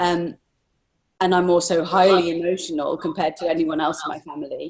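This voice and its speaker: A woman speaks in an English accent with monotone, flat intonation. Her pitch is fairly low and her pace fairly quick. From England. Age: 40s. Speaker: artist. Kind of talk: interview.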